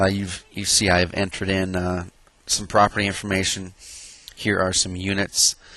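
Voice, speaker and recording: The speaker is a man with a very deep, low voice. His intonation is monotone and flat. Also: moderate pace. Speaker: real estate investor reviewing software. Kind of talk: software review tutorial. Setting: outdoors on a deck. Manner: hesitant, many fillers.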